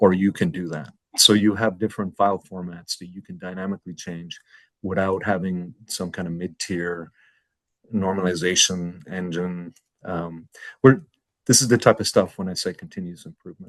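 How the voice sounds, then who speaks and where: With an American accent, a man talks at a moderate pace in a very deep, low voice, his intonation fairly even but his loudness swinging widely. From New York and Ireland. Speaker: fintech executive. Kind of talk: interview.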